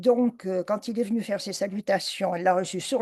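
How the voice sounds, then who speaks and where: A woman talks at a fairly quick pace. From southwest France (Bayonne). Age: 80s+. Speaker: author. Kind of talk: life story talk. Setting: video call.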